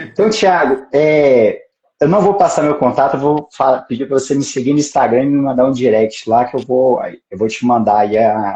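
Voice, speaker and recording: With a Minas Gerais caipira accent, a man talks at a moderate pace in a medium pitch and dark, mellow tone, using ordinary pitch variation. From Brazil, Minas Gerais (Pedra Azul). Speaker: judge. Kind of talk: casual live stream chat. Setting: Instagram live.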